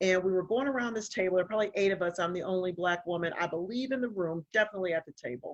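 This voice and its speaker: A woman speaks at medium pitch. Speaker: mental health professional. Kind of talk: casual conversation. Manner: loud, assertive.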